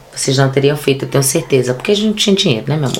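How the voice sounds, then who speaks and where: Through noticeable background noise, a woman's very deep, low voice comes across with ordinary pitch variation. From Brazil, Bahia (Ilhéus). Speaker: actress, theatre director and activist. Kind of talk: casual interview chat. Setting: studio. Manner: animated.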